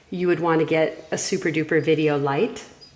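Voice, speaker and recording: Noticeable background noise and audible room echo accompany a woman as she talks. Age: 60s. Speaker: underwater photographer. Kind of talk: tutorial. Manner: casual.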